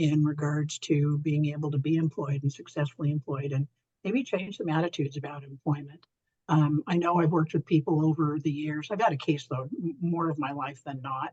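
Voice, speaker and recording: A man's somewhat breathy, fairly high voice at a fairly quick pace, with fairly even intonation and a dry, close sound with no echo. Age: 60s. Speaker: supported employment trainer. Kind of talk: webinar presentation.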